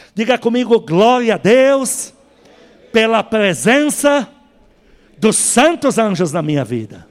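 A man talks in a high pitch with lively intonation. His pace is very slow, broken by long, frequent pauses. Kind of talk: sermon.

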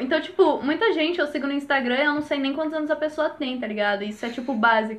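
A woman speaks with lively intonation. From Brazil, Jundiaí (São Paulo state). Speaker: podcast host. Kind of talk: casual chat.

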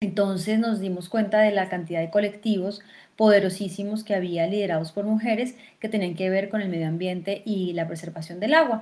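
A woman's ordinary speaking voice at a medium pitch, fairly quick and fairly even in intonation, on a very clean recording with a silent background. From Colombia, Fusagasugá (Cundinamarca). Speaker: actress, theatre director and film festival director. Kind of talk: interview.

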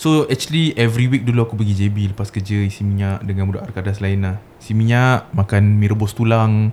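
A man speaks in a normal speaking voice, fairly low in pitch, at a fairly quick pace with fairly even intonation. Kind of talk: casual banter podcast chat. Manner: joking, playful.

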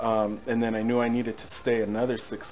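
With an American accent and flat, monotone intonation, the speech moves at a moderate pace amid noticeable background noise and audible room echo. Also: man. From Norwalk, Southern California. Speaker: worship musician. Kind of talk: testimony. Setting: home recording streamed live.

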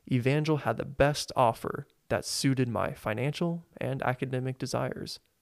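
A man with an unremarkable speaking voice at medium pitch and fairly even intonation, recorded very cleanly against a silent background with a dry, close sound and no echo. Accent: American. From Springfield, Missouri. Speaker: podcast host and student organist. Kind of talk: devotional monologue.

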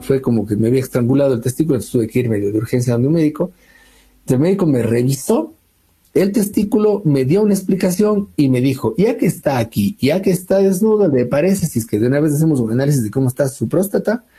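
Very fast and somewhat breathy, a man's fairly high voice has a dark, mellow tone and very wide pitch swings. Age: 40s. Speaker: academic researcher. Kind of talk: interview testimony.

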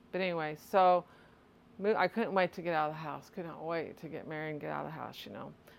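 A woman's very deep, low voice at a very fast pace. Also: fairly even intonation. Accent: American. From US Midwest, Litchfield, Illinois. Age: 50s. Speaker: guest sharing faith story. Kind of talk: testimony.

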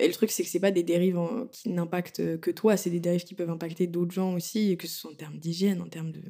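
The voice has a dark, mellow tone and moves at a very fast pace with hardly any pauses and big swings in loudness. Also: woman. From France. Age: 20s. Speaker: tattoo artist. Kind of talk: casual chat.

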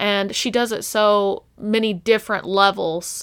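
This woman's voice sits at a medium pitch. The recording is very clean, with a silent background. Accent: American. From Texas. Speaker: book podcast co-host. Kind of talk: casual chat.

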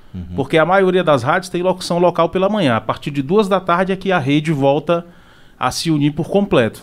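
Here a man speaks at a high pitch and a fairly quick pace. His pitch variation is ordinary. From Ceará, Brazil. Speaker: radio announcer. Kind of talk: casual chat. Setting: studio.

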